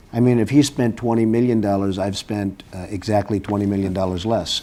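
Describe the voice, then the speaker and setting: A man's fairly low-pitched, plain, everyday voice, with fairly even intonation at a fairly quick pace. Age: 50s. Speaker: businessman considering a presidential run. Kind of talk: TV interview answer.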